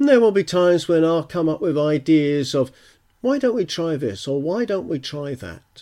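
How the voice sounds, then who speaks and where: This man talks at a moderate pace in a British accent, his fairly high voice dark and mellow in tone with lively intonation. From UK. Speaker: gardening podcaster. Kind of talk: solo podcast monologue.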